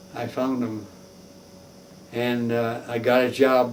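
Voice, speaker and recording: Noticeable background noise runs under the recording. Through it, a man speaks with an American accent. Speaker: war veteran. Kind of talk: interview answer.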